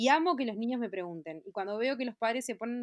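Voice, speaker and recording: Lively and fairly quick, a woman's fairly high voice carries a Uruguayan accent. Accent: Uruguayan Rioplatense Spanish. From Uruguay, Montevideo. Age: 30s. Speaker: fashion designer. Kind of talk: interview. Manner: halting, many fillers and repetitions.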